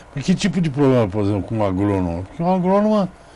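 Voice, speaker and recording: Speaking at a medium pitch, a man lets his voice make very wide pitch swings. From Brazil, São Paulo city. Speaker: TV interviewer. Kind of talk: interview. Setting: studio.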